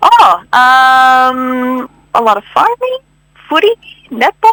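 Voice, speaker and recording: Speaking very slowly in a raised, projected voice, a woman with a Canadian accent uses a high pitch and very wide pitch swings, recorded dry and close with no echo. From Canada, Ottawa. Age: young. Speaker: agricultural scientist. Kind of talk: radio interview.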